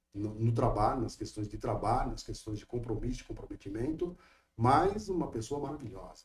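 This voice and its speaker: A man speaks at a moderate pace in a somewhat breathy voice with a dark, mellow tone. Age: 60s. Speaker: lawyer. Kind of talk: interview.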